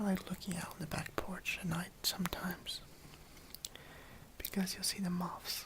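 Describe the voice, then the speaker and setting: A man whispers at a moderate pace, leaving long, frequent pauses. Noticeable background noise can be heard. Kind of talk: ASMR whispering. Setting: speaking through a face mask. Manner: whispered, soft-spoken.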